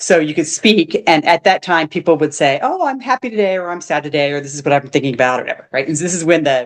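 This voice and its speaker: Her voice is fairly low for a woman, with an animated tone. She speaks at a very fast pace. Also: hardly any pauses. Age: 50s. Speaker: retired digital nomad. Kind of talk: casual interview chat. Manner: animated storytelling with many false starts.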